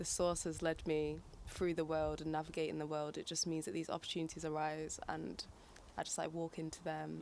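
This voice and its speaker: This woman speaks at a fairly quick pace with a northern English accent. Her pitch is very deep and low, and her intonation is monotone and flat. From northern England, Manchester. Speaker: singer and poet. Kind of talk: interview.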